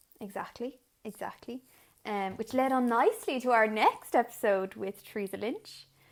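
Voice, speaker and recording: In an Irish accent, a woman speaks at a moderate pace with a fairly high pitch, ordinary pitch variation and big swings in loudness. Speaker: podcast co-host, sign language interpreter. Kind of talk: casual chat.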